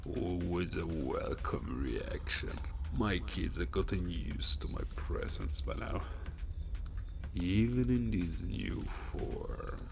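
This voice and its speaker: Loud background noise fills the clip. A man does a put-on character voice at a fairly slow pace. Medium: machinima. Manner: condescending, amused.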